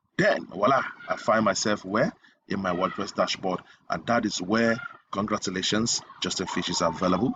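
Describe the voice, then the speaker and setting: Using an ordinary speaking voice, a man talks at a moderate pace. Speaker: web design tutor. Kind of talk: tutorial.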